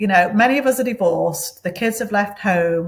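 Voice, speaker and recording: This woman speaks in a British accent. Her voice is somewhat breathy. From England, Manchester. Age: 60s. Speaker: interview guest. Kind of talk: interview.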